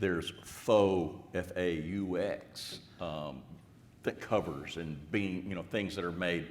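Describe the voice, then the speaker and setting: Recorded with audible room echo, a man talks in a very deep, low pitch with ordinary pitch variation. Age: 60s. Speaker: steel framing company panelist. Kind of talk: panel discussion. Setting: conference stage with audience.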